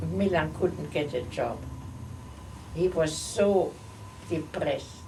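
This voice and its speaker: A woman speaks with a Central European accent. She goes at a very slow pace, with audible room echo. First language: not English. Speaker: holocaust survivor. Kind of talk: oral history interview. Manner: halting.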